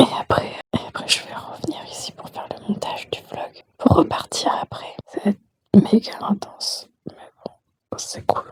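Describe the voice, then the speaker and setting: A woman is whispering. Her pace is fairly slow. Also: big swings in loudness. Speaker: burlesque performer and vlogger. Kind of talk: casual vlog. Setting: backstage at theatre.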